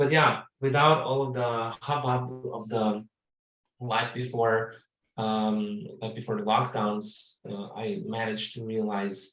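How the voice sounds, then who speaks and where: Heard with audible room echo, the speech moves at a moderate pace with ordinary pitch variation. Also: man. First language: not English. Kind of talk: webinar introduction. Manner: halting, searching for words.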